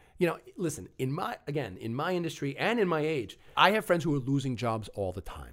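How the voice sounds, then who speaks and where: A man speaks with an American accent and lively intonation. He has an ordinary speaking voice. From Long Island, New York. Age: 40s. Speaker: actor and TV referee. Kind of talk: casual chat.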